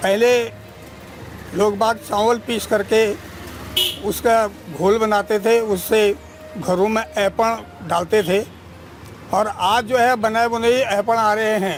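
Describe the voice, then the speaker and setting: Over noticeable background noise, a man with a high voice and fairly even intonation speaks with long, frequent pauses. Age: old. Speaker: retired school principal. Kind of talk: interview.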